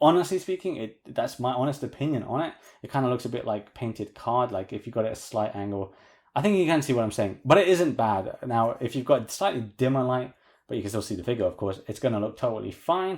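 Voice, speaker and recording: Very fast, lively speech from a man of medium pitch with a British accent. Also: very clean recording, silent background. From UK. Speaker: toy collector reviewer. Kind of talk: product review tutorial. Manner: casual.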